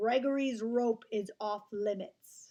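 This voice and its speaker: In a put-on character voice, a woman talks gruffly at a fairly slow pace, her pitch fairly high and her intonation fairly even. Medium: read story. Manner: booming, gruff, talks of himself by name.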